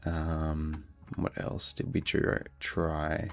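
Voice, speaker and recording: A man with an Australian accent, very deep and low in pitch, fairly even in intonation, on a very clean recording with a silent background. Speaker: hacking live streamer. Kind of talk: live stream tutorial. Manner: casual, with many fillers.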